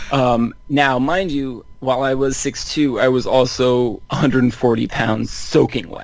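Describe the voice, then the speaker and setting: With an American accent and a medium pitch, a man talks at a very slow pace with hardly any pauses and fairly even intonation. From Northern California. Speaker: basketball writer. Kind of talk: casual chat.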